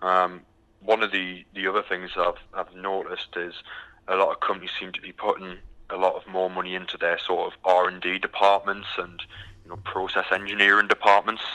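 A man's very deep, low voice in monotone, flat intonation, at a moderate pace with big swings in loudness. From UK. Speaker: recruitment company executive. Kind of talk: interview. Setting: phone call. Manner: hesitant with frequent um fillers.

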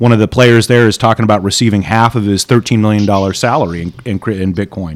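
A man with an American accent, an ordinary speaking voice at a fairly low pitch, fairly even in intonation and fairly quick in pace. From Saudi Arabia (American expat compound). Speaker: radio co-host. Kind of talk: casual chat.

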